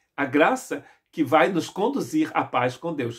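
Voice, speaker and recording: A man speaking at a fairly slow pace. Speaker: pastor. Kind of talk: sermon.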